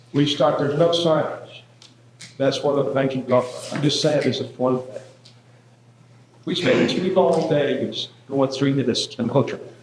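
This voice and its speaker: A man with an American accent talks at a fairly high pitch with fairly even intonation and long, frequent pauses. Noticeable background noise is present. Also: fairly slow pace. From Georgia, US South. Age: 70s. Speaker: board member. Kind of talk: public comment.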